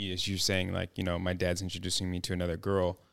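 The man's pitch is very deep and low. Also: very clean recording, silent background. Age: 30s. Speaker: podcast host and father. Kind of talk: emotional family conversation.

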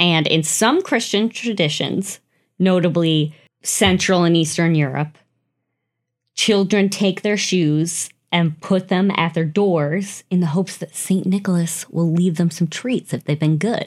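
A woman with an American accent, a normal speaking voice, fairly low in pitch, ordinary pitch variation, a fairly slow pace, and a very clean recording with a silent background. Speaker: podcast host. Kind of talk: ghost story telling. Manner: hushed, slow, suspenseful storytelling build-up.

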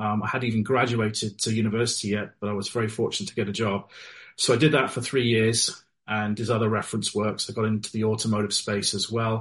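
In a British accent, a man at medium pitch races along at a very fast pace, somewhat breathy and with monotone, flat intonation. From Wales and UK, military family. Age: 40s. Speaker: novelist. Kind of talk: interview.

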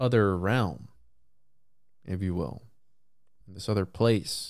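A man with a Spanish accent, a fairly low pitch, fairly even intonation and a moderate pace. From Puerto Rico. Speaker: podcast host. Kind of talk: casual solo talk responding to voicemails. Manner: casual.

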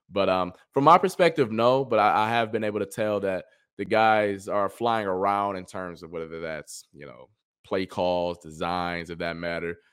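A man with an American accent and a normal speaking voice, fairly low in pitch with ordinary pitch variation, at a moderate pace, with big swings in loudness. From Cleveland, Ohio. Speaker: sports reporter and former college football player. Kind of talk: casual chat.

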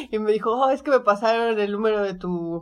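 On a very clean recording with a silent background, a woman with an unremarkable speaking voice talks at a moderate pace and medium pitch with lively intonation. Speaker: podcast co-host. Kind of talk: casual chat.

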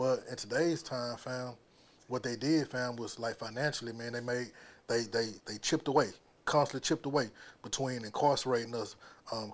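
Here a man speaks at a fairly quick pace. His pitch is medium and his intonation fairly even. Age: 40s. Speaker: formerly incarcerated entrepreneur. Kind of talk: casual chat.

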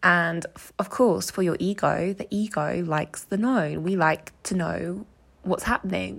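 The speech moves at a fairly slow pace. It comes in an English accent. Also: woman. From England, small village. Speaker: podcast host. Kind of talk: solo monologue sharing personal experiences. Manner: casual, chatty with laughs.

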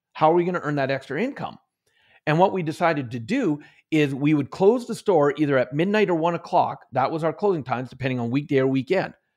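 A man with a fairly high pitch, lively intonation and a very fast pace, over a quiet background. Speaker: author and motivational trainer. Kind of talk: interview. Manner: high energy.

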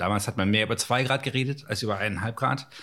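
Very fast and somewhat breathy, a man talks in a very clean recording with a silent background. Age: 40s. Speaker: climate scientist. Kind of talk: interview.

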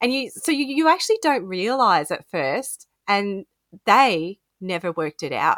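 An Australian accent from a woman at medium pitch, moderate in pace, with very wide pitch swings, in a very clean recording with a silent background and a dry, close sound with no echo. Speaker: podcast co-host. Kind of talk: casual chat. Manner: giggly, animated.

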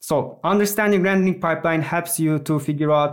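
With a Turkish accent, a man speaks with ordinary pitch variation. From Turkey. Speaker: software engineer. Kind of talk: casual interview. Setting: video call.

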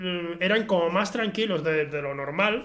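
A man with a high pitch and ordinary pitch variation talks at a moderate pace while noticeable background noise continues. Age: 20s. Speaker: film podcast host. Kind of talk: casual chat. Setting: home recording with camera.

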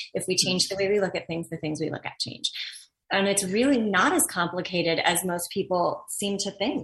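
A woman's unremarkable speaking voice, medium in pitch, at a fairly quick pace with ordinary pitch variation. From Los Angeles, US. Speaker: actor, teacher and engagement consultant. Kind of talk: interview.

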